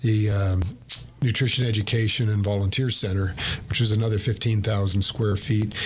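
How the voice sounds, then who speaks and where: A man's fairly low, somewhat breathy voice with a Texan accent, monotone and flat in intonation, with audible room echo. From East Texas, Bowie County. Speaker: food bank CEO. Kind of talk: radio interview. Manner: hesitant, many fillers.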